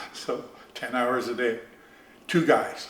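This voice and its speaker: A man speaks at a medium pitch. Audible room echo and noticeable background noise fill the recording. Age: 70s. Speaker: artist and carver. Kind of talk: casual interview. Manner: halting.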